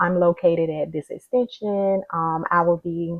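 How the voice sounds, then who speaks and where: This woman's voice sits fairly low in pitch. She speaks quietly, with fairly even intonation. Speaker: social worker. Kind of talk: casual vlog explanation. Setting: at home. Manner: quiet, speaking low; hesitant, many fillers.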